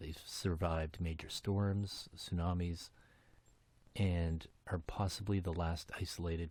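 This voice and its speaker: Soft-spoken and somewhat breathy, this man has a very deep, low pitch and fairly even intonation, captured in a very clean recording with a silent background. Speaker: podcast host. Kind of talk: casual podcast monologue. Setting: home basement. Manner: hesitant, many fillers.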